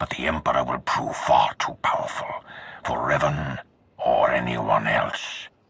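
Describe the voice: A man's put-on character voice with vocal fry, a fairly bright tone, extremely low pitch, a husky, rough edge, and a fairly slow pace. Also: ordinary pitch variation.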